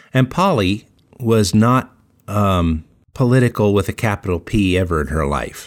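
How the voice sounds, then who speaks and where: On a very clean recording with a silent background, a man with an American accent uses a normal speaking voice at a fairly low pitch, moderate pace and lively intonation. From central Colorado. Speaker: podcast co-host. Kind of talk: casual chat.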